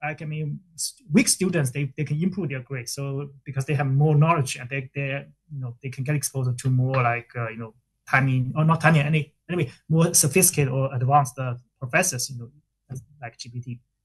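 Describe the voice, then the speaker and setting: This man's voice sits fairly high for a man, sounds somewhat breathy, and keeps a fairly even intonation while its loudness swings widely. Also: fairly quick pace. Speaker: professor, conference presenter. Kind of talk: academic Q&A. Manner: very fast.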